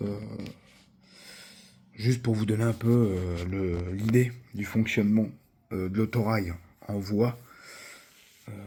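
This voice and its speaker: Music plays in the background as a man talks at a fairly slow pace. His medium pitch shows ordinary pitch variation. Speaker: model train youtuber. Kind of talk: product review. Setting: home recording with camera operator. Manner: hesitant, many fillers.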